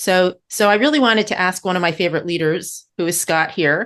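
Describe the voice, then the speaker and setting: Over a quiet background, a woman talks in a fairly low pitch with ordinary pitch variation. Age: 60s. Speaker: podcast co-host. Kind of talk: casual conversation. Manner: halting, with fillers.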